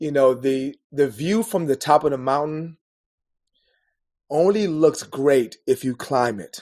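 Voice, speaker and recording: Over a quiet background, a man with a fairly high pitch and a dark, mellow tone talks at a fairly slow pace, the sound dry and close with no echo. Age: 40s. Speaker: life coach. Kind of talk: podcast interview. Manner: halting, repeated words.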